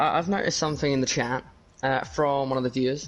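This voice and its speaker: Speaking very fast, a man holds a medium pitch in a monotone, flat intonation. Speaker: esports commentator. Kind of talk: casual chat. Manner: hesitant, many fillers.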